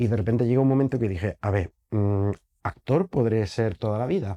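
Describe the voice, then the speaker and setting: A man speaks at medium pitch with a dark, mellow tone. His pace is moderate and his pitch variation ordinary. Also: quiet background. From Germany. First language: German (speaking Spanish). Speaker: actor and theatre director. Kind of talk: interview. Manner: halting.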